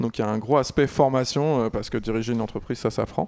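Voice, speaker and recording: A man at a fairly quick pace. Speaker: incubator director. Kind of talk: panel discussion. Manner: fast; halting.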